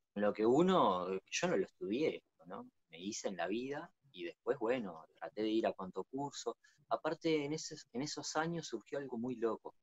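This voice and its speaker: A man with a Uruguayan accent speaks at a moderate pace and fairly high pitch, his pitch swinging very widely. The sound is dry with no echo, over a quiet background. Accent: Uruguayan Rioplatense Spanish. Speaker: natural builder. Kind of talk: interview. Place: home room. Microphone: video call.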